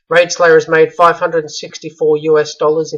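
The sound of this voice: A man speaks at a moderate pace with a fairly high pitch and a fairly bright tone. His delivery sounds strained, with monotone, flat intonation.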